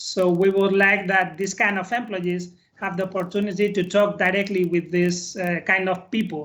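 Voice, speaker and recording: Delivered at a moderate pace with hardly any pauses, this voice carries a Spanish accent. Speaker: corporate employee presenting a project. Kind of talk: business presentation. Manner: halting, many fillers.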